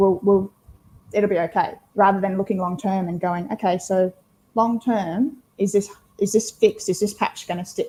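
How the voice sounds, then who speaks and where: Her tone dark and mellow, a woman with a medium pitch speaks at a moderate pace, somewhat breathy, with fairly even intonation, big swings in loudness, and long, frequent pauses. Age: 30s. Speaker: team leadership coach. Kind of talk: interview answer.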